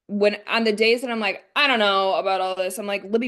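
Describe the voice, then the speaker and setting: The pitch varies an ordinary amount. Behind the voice is a quiet background. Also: woman. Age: young. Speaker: team leader. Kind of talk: team call presentation. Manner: fast.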